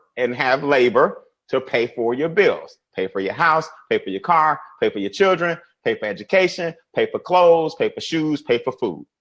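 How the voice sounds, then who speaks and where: With an American accent, a man of fairly high pitch speaks in an animated tone with vocal fry and very wide pitch swings. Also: quiet background. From US South. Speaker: financial educator. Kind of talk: webinar presentation. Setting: online webinar. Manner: fast.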